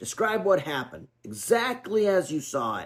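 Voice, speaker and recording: A man puts on a raspy, high character voice with very wide pitch swings. He keeps a moderate pace. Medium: read story. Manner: formal, measured.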